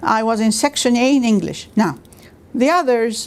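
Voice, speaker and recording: This woman talks at a fairly slow pace in a fairly high pitch, with an Armenian accent. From Iraq and Lebanon. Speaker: retired university staff member. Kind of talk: oral history interview. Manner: hesitant, with many fillers.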